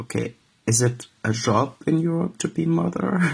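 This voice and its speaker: A man speaks with lively intonation and a somewhat breathy quality. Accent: Arabic. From Syria. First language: Arabic. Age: 20s. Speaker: refugee. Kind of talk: testimony. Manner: halting.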